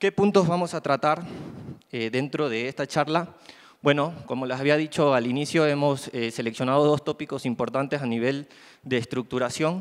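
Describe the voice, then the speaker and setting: Over a quiet background, an ordinary speaking voice talks at a moderate pace with ordinary pitch variation. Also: man, fairly high pitch for a man. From Ecuador, Guayaquil; Ecuador. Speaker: network trainer and consultant; network trainer. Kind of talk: conference presentation. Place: hall.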